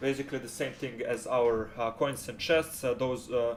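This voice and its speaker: Speaking with a non-native accent, a man keeps a medium pitch and fairly even intonation. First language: not English. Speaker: game development tutorial creator. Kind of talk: tutorial. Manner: halting, many fillers.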